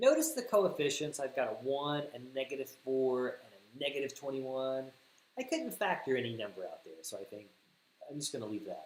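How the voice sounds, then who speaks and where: A man with an American accent talks at a fairly quick pace, his loudness swinging widely. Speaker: math teacher. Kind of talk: livestream math tutorial. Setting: livestream.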